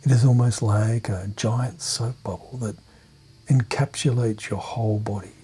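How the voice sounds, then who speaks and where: Soft-spoken and dark, mellow in tone, a man talks at a medium pitch and moderate pace with fairly even intonation. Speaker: clinical hypnotherapist. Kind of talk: guided meditation. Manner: soft-spoken, calming.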